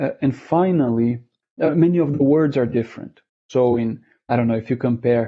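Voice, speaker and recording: A man with a Portuguese accent, medium pitch, ordinary pitch variation and a moderate pace. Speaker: interviewee, language learner. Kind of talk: interview. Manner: hesitant, many fillers and repeats.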